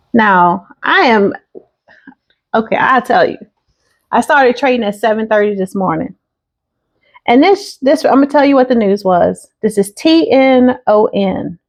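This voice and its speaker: Her pitch is high and her intonation lively. This woman leaves long, frequent pauses. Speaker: day trader. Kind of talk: trading recap vlog. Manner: casual, conversational.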